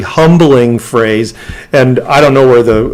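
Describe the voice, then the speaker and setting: Speaking with an Upper Midwest accent, a man uses a medium pitch and ordinary pitch variation. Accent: Upper Midwest American. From rural Minnesota. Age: 60s. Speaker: interview guest. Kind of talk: casual interview. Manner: halting, many fillers.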